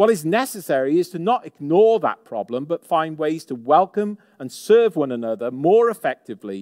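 A man with a fairly high pitch makes very wide pitch swings. The very clean recording has a silent background and a dry, close sound with no echo. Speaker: assistant pastor. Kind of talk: sermon. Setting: church service.

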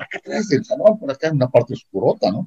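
A somewhat breathy man talks at a fairly quick pace in a dry, close sound with no echo. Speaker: secondary school teacher. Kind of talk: casual chat. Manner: animated.

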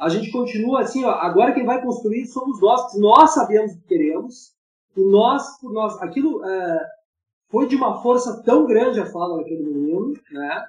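A man's extremely high-pitched voice at a moderate pace, with big swings in loudness. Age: 50s. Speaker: filmmaker. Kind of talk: panel discussion.

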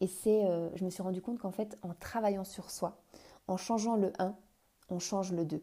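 A woman with a dark, mellow tone speaks at a moderate pace, leaving long, frequent pauses. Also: medium pitch for a woman, fairly even intonation. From France. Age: 30s. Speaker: couples coach. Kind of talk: solo podcast monologue. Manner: halting, many fillers.

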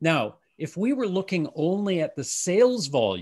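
Over a quiet background, an ordinary speaking voice with a Canadian accent moves at a fairly slow pace with lively intonation. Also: man. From Canada. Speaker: retail futurist and consultant. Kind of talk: interview. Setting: video call.

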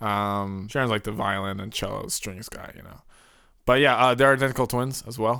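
Recorded very cleanly against a silent background, a man with a normal speaking voice talks at a moderate pace, with medium pitch and ordinary pitch variation. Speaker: podcast co-host. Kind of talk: casual chat.

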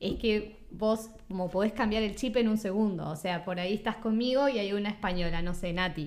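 Over noticeable background noise, a woman in a Uruguayan accent talks at a moderate pace and medium pitch with ordinary pitch variation and hardly any pauses. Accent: Uruguayan, kept while in Spain. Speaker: podcast host. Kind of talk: casual chat.

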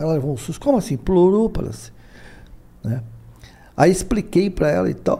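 This man's voice sits fairly high in pitch. It has a dark, mellow tone. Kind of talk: interview on spirituality. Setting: live video stream.

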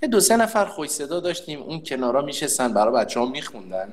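A man speaks at a fairly quick pace with lively intonation over noticeable background noise. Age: 30s. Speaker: conscript soldier and employer. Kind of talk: casual chat.

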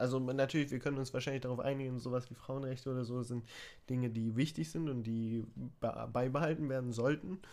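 A man talks in a normal speaking voice at medium pitch with fairly even intonation. His fairly quick pace comes through on a very clean recording with a silent background. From Germany. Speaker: podcast co-host. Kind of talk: casual chat.

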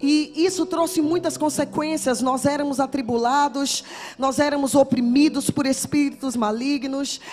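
A woman with a high pitch talks at a fairly slow pace with fairly even intonation, and noticeable background noise can be heard. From Brazil, Salvador, Bahia. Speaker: guest preacher. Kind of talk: sermon with personal testimony. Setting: church with congregation.

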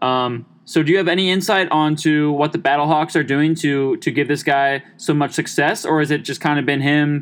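A man's fairly high pitch at a moderate pace, with an American accent, against a quiet background. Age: 20s. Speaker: college student podcast host. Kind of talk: casual chat. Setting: home recording in his room. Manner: animated.

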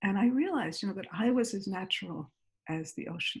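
A woman's fairly quick American-accented speech at a medium pitch, with vocal fry and ordinary pitch variation. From US Northeast, Great Neck, New York. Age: 60s. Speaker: mindfulness teacher. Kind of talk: interview.

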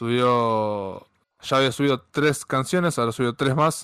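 Speaking at a moderate pace in a plain, everyday voice, a man keeps a medium pitch with ordinary pitch variation on a very clean recording with a silent background. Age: 30s. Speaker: podcast host. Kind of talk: casual chat.

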